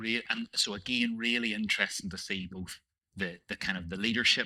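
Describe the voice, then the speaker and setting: A man with a Northern Irish accent and fairly even intonation. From Northern Ireland. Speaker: panel moderator. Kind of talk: panel discussion. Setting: stage with audience.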